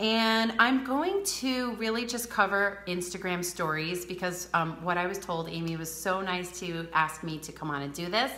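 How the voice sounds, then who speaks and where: With a Rhode Island accent, a woman speaks at a medium pitch with a bright, sharp tone and ordinary pitch variation, and audible room echo surrounds her. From US Northeast, Rhode Island. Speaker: beauty advisor. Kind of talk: live social media training. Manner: fast.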